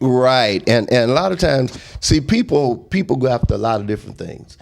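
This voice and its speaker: A plain, everyday voice from a man, medium in pitch, at a fairly quick pace. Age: 60s. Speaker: pastor. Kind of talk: casual chat.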